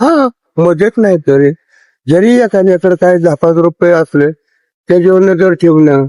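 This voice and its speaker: Keeping a very even loudness, a man speaks in a high pitch with ordinary pitch variation and a dark, mellow tone. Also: dry, close sound with no echo. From Pune. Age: 80s+. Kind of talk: street interview answer.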